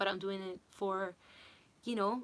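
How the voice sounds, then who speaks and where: Moderately paced speech from a woman with a non-native accent. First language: not English. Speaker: singer and vocal coach. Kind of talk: livestream chat.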